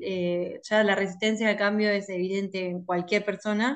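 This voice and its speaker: Delivery comes at a moderate pace. The intonation stays monotone and flat. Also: woman. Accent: Rioplatense. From Argentina, La Plata. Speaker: industrial engineer and consultant. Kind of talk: interview. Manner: hesitant, many fillers.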